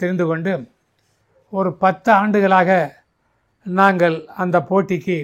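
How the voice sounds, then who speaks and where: This man talks in a high pitch with a monotone, flat intonation. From Tamil Nadu, India. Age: 80s+. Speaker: retired physical education teacher and Mallakhamb coach. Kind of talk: interview answer. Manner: clear, composed.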